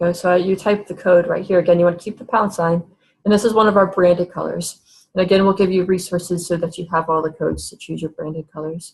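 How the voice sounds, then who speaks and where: Somewhat breathy and fairly low, a woman's voice races at a very fast pace with monotone, flat intonation and big swings in loudness. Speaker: webinar presenter. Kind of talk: tutorial.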